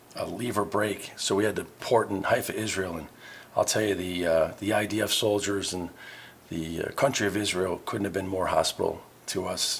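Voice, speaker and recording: A man with an American accent, fairly low-pitched and somewhat breathy, with fairly even intonation and a moderate pace. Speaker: navy veteran and pub owner. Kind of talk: interview. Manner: halting.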